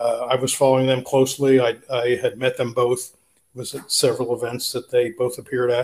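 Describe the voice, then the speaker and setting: At a moderate pace, a man with an American accent talks at a medium pitch in a somewhat breathy voice. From Philadelphia, US. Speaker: libertarian writer. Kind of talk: interview.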